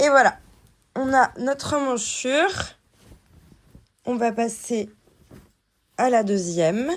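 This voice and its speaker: Her voice is high in pitch with lively intonation as the woman speaks at a very slow pace, leaving long, frequent pauses. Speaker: sewing tutor. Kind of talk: tutorial.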